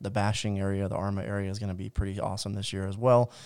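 Talking at a very fast pace, a man with a fairly low pitch comes through on a very clean recording with a silent background. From US South, Georgia. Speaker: podcast co-host, marketing director. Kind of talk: casual chat.

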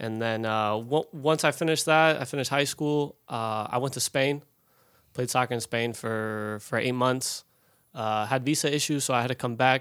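A man with a normal speaking voice talks at a medium pitch and moderate pace. His intonation is fairly even, in a very clean recording with a silent background. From Colorado, US. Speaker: professional soccer player. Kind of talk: casual chat. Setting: studio.

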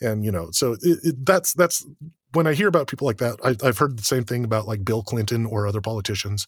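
Lively in intonation and somewhat breathy, a man talks at a very fast pace in a medium pitch. The recording is very clean, with a silent background. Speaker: podcast host and lore expert. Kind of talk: educational lecture in a casual panel chat. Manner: halting, with many filler repeats.

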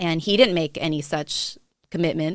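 An unremarkable speaking voice from a woman with an American accent, fairly even intonation and a fairly quick pace, on a very clean recording with a silent background. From California, Monterey. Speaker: pastor and author. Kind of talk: interview conversation.

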